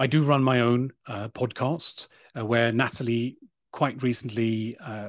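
In a British accent, a man speaks at a fairly slow pace and medium pitch with fairly even intonation, the sound dry and close with no echo against a quiet background. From Sweden. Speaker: digital nomad and sustainable tourism advocate. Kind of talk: interview conversation. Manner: halting, many fillers and repetitions.

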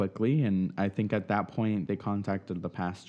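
A man's fairly low voice with fairly even intonation, over a quiet background. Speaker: interviewee sharing life story. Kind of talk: interview. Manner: hesitant, many fillers.

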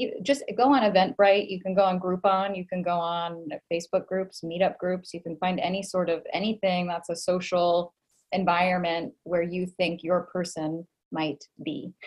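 Speaking in an American accent, a woman uses a plain, everyday voice at a medium pitch, with fairly even intonation and a moderate pace. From US, Boston area (Massachusetts). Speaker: life and love coach. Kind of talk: casual interview chat.

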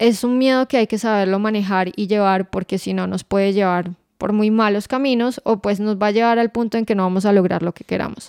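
Here is an ordinary speaking voice at a fairly quick pace, with fairly even intonation and hardly any pauses. The sound is dry and close with no echo, on a very clean recording with a silent background. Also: woman, medium pitch for a woman. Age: 20s. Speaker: podcast co-host, finance professional. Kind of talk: casual chat.

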